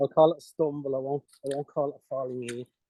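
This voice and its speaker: A man speaks with an Irish accent. His intonation stays fairly even. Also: dry, close sound with no echo. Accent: deep Irish. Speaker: fishing commentator. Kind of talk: live commentary.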